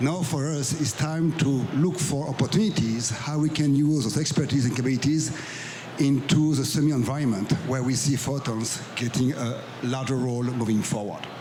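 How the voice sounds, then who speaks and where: A man with a French accent speaks at a fairly high pitch with ordinary pitch variation, over noticeable background noise and audible room echo. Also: moderate pace. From France. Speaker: business executive. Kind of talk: panel discussion.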